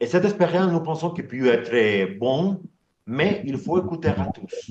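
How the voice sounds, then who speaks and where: A man's fairly slow speech with very wide pitch swings. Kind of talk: online meeting presentation. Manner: halting, many repetitions.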